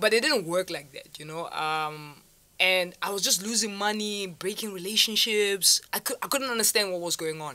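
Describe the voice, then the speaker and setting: The voice has a bright, sharp tone, with ordinary pitch variation and a moderate pace. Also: woman, medium pitch for a woman. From South Africa, Vaal; South Africa. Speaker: online entrepreneur; interview guest. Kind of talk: interview. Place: studio. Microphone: studio mic.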